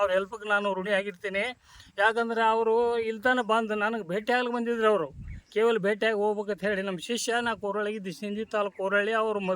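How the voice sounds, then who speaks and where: A man speaks in a high voice with a flat, monotone delivery. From northern Karnataka, Vijayapura district. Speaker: retired teacher and farmer. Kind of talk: interview testimony.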